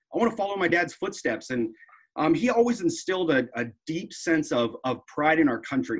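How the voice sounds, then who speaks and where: Using a plain, everyday voice, a man speaks at a fairly quick pace with lively intonation. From US, military family, moved around. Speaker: army veteran, former drill sergeant. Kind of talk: interview conversation.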